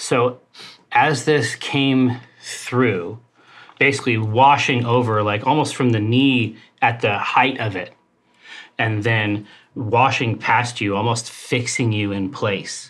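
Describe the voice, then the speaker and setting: A man speaks in a put-on character voice, raspy and at medium pitch. His pace is fairly slow. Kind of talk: horror game-master narration.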